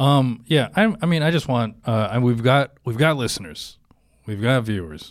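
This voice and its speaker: With an American accent, a man uses a normal speaking voice at medium pitch, with lively intonation and a moderate pace. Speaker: comedy podcast co-host. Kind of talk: casual chat.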